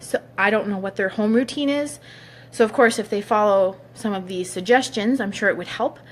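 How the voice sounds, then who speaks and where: At a moderate pace, a woman speaks in an ordinary speaking voice with a fairly high pitch and ordinary pitch variation. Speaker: hairstylist. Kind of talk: tutorial.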